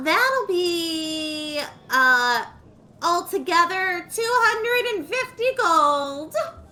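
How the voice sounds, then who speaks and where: A squeaky, put-on character voice with an extremely high pitch. It moves at a very slow pace. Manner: obnoxious.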